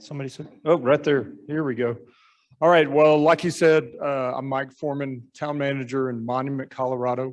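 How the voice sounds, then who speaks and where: A normal speaking voice from a man, fairly high in pitch, at a fairly quick pace with fairly even intonation. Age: 60s. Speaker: town manager. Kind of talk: club talk with slides.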